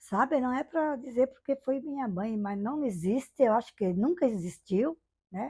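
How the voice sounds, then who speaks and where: Over a silent background on a very clean recording, a woman talks at a fairly slow pace. Her pitch swings very widely. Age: 70s. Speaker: interviewee sharing life memories. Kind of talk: oral history testimony. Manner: conversational, frequent fillers.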